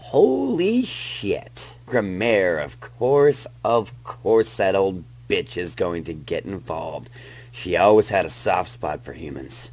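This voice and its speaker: A man in a put-on character voice, very deep and low in pitch, at a very slow pace, over light background noise. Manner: vulgar, menacing, bullying; cold, commanding.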